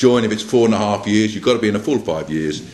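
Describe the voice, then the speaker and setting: A man is speaking. His pace is fairly quick. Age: 60s. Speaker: political party candidate. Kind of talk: political speech to a meeting. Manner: repetitive, hesitant with fillers.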